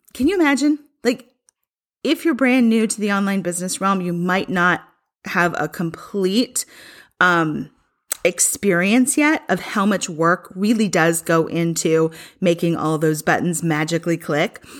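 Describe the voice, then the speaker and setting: On a very clean recording with a silent background, a woman speaks fairly slowly at a medium pitch, her tone animated and her intonation lively. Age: 40s. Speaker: attorney and podcast host. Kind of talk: solo educational talk.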